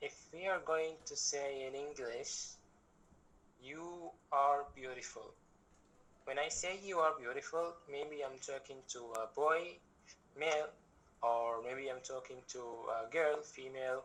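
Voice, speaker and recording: With audible room echo, a man talks at a fairly slow pace in a fairly high voice, using ordinary pitch variation and long, frequent pauses. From Egypt. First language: Arabic. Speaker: language workshop instructor. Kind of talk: lecture.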